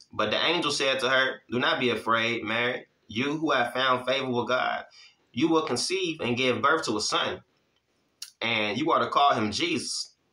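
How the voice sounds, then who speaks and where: A man speaks with a bright, sharp tone and very even loudness, his pitch varying in an ordinary way, with audible room echo over a quiet background. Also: moderate pace. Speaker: Bible teacher. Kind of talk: Bible teaching with casual chat. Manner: casual, conversational, encouraging. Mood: calm, devotional. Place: home room.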